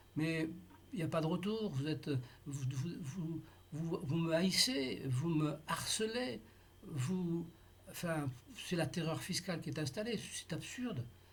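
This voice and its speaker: Speaking at a very slow pace with long, frequent pauses, a man with a fairly high pitch shows ordinary pitch variation amid audible room echo. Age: 80s+. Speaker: taxpayer in a dispute. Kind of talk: tense phone appeal with tax official. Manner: halting, many hesitations.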